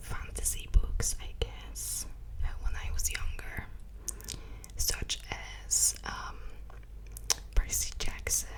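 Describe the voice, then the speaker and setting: Someone whispers at a very slow pace, with long, frequent pauses. Noticeable background noise sits behind the voice. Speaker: ASMR artist. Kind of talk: ASMR Q&A rambling. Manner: whispered.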